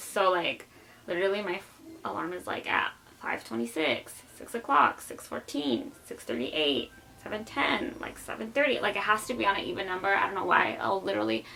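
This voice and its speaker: At medium pitch and a fairly quick pace, a woman talks with very wide pitch swings against noticeable background noise. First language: Spanish. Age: 20s. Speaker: YouTuber. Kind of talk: casual vlog chat. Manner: casual, filler-heavy.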